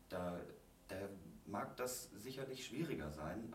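Very deep and low in pitch, a man speaks at a very slow pace. Noticeable background noise and audible room echo fill the recording. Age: 30s. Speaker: guest sharing personal experience. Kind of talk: casual interview.

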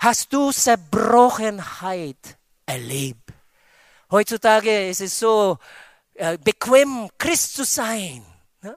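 A man's high-pitched voice at a very slow pace, with long, frequent pauses and big swings in loudness, in a dry, close sound with no echo. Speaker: pastor. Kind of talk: sermon. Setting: church with congregation. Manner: animated, preacherly, with call-and-response 'Amen' and emphatic exclamations.

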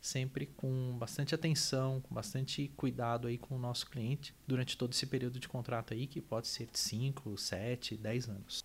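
In a very clean recording with a silent background, a man with a medium-pitched, somewhat breathy voice talks at a moderate pace. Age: 30s. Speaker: energy company manager and engineer. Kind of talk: interview.

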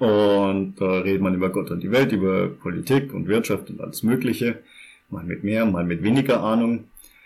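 A man with an ordinary speaking voice, fairly low in pitch, at a moderate pace with ordinary pitch variation. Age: 20s. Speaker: podcast co-host. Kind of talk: casual chat.

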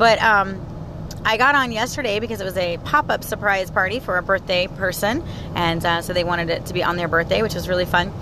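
Against noticeable background noise, a woman speaks in an animated tone at a fairly quick pace with ordinary pitch variation. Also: medium pitch for a woman. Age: 30s. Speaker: podcaster. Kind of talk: casual chat. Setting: in a car.

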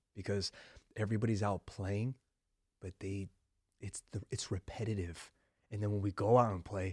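A man's somewhat breathy voice at a fairly low pitch and moderate pace, with fairly even intonation, dry and close with no echo, on a very clean recording with a silent background. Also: long, frequent pauses. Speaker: podcast host. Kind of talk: casual interview conversation.

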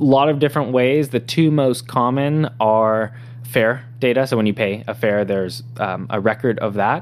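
Speaking at a moderate pace with hardly any pauses, a man in an American accent uses an ordinary speaking voice at a medium pitch with fairly even intonation. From Southern California (San Diego). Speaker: tech startup founder and CEO. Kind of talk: interview.

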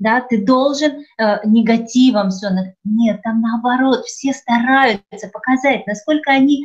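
Very slowly, a woman speaks in a high pitch with ordinary pitch variation. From Ukraine. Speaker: theatre studio director, trained TV presenter and actress. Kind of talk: casual interview conversation. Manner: animated.

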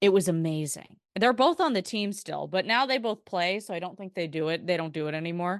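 A woman with an American accent speaks at a fairly quick pace in a normal speaking voice, medium in pitch with ordinary pitch variation. The background is quiet. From Portland, Oregon. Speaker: TV sports anchor and reporter. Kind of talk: casual chat.

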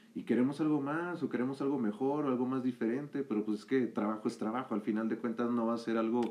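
Speaking at a very fast pace with hardly any pauses, a man with a medium pitch keeps his intonation fairly even over noticeable background noise. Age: 20s. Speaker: communication student. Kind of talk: casual chat.

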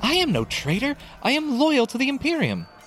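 A man shouting in a put-on character voice, extremely high pitched with very wide pitch swings, a fairly bright tone and a fairly quick pace, over faint music in the background.

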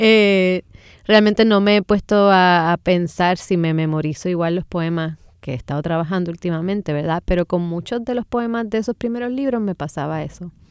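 The sound is dry and close with no echo. A woman talks at a moderate pace and medium pitch, with ordinary pitch variation. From Puerto Rico, San Juan. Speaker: poet. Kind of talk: radio interview. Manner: halting, many fillers and repeated words.

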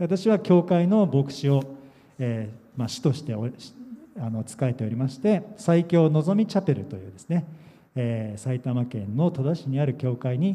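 The pitch swings very widely and the loudness rises and falls sharply in this dark, mellow, somewhat breathy voice at a moderate pace. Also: man, fairly high pitch for a man. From Japan, Yokohama. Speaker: pastor. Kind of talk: sermon. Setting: church camp gathering.

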